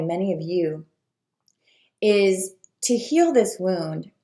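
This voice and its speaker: A woman speaks with very wide pitch swings. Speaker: spiritual coach. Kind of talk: video talk to viewers.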